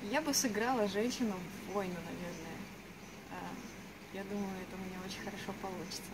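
Against noticeable background noise, a woman at a medium pitch talks at a moderate pace with ordinary pitch variation. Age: 20s. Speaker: actress. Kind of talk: self-presentation. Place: street. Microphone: camera far.

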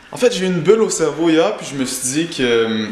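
Faint music plays in the background as a man with a high pitch speaks at a moderate pace amid audible room echo. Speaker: vlogger. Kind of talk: casual vlog chat. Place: home room. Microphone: phone near.

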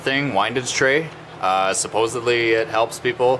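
With fairly even intonation and at a moderate pace, a man talks against noticeable background noise. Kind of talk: tutorial. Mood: relaxed, casual. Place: garage. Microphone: phone near.

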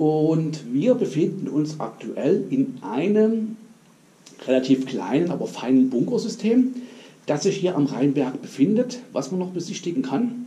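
Speaking fairly slowly, a man lets his pitch swing very widely. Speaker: urbex video creator. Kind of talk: casual vlog chat. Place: tunnel cave. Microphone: camera far.

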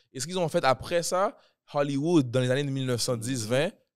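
The background is quiet. A man speaks at a fairly high pitch. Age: 20s. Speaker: rapper; podcast host or guest. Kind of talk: casual chat. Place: studio. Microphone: studio mic.

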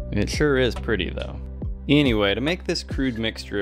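Music plays in the background. Over it, a man speaks with very wide pitch swings. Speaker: amateur chemist. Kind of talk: chemistry video voice-over narration.

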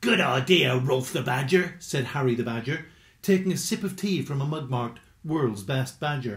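Just plain reading aloud, nothing more

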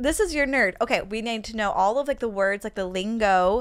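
On a very clean recording with a silent background, a woman with a northern US accent speaks at a fairly high pitch with lively intonation. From upstate New York. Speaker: comedian and podcast host. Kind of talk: casual interview chat.

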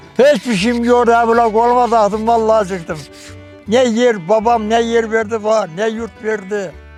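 Music plays in the background as a man speaks at a high pitch. His pace is moderate. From Ordu, Turkey. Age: 80s+. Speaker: wooden spoon craftsman. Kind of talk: interview answer. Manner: friendly, good-humoured.

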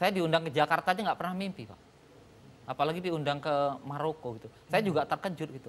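This man speaks at a very fast pace and a fairly high pitch. His loudness swings widely, and he takes long, frequent pauses. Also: ordinary pitch variation. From Medan, North Sumatra, Indonesia; North Sumatra, Indonesia. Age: 40s. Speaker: farmer; guest. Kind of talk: TV talk show interview; speech. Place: studio. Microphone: lapel.

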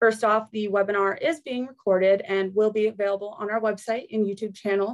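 Her intonation fairly even, a woman talks at a fairly quick pace. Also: quiet background. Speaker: webinar host. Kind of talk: webinar introduction and housekeeping. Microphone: video call.

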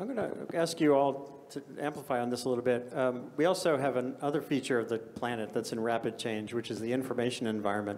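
The speech runs at a very fast pace with hardly any pauses and ordinary pitch variation. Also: man, medium pitch for a man. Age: 60s. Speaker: journalist and panel moderator; journalist, panel moderator. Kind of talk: moderated panel discussion. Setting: conference stage with audience. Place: hall. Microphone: handheld.

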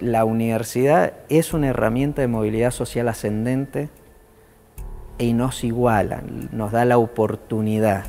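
Using fairly even intonation, a man talks at a fairly slow pace in a dark, mellow tone. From Argentina, General Alvear (Mendoza); Mendoza, Argentina. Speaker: politician and university lecturer; politician, university lecturer. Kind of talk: interview testimony. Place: hall. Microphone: lapel.

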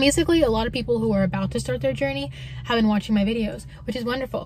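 A woman's somewhat breathy voice comes through with a dry, echo-free sound and light background noise. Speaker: car-life vlogger. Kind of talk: casual vlog chat. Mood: friendly, relaxed. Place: car. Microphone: phone near.

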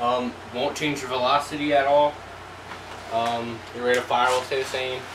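Noticeable background noise sits behind a man's voice. His intonation is fairly even. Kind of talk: tutorial. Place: home room. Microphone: camera far.

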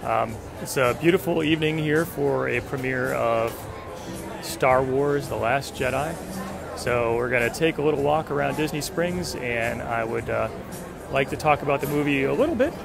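A man at a moderate pace with ordinary pitch variation, dry sound with no echo, and clear music in the background. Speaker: fan vlogger. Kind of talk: casual vlog chat. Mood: excited, upbeat. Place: street. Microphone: phone near.

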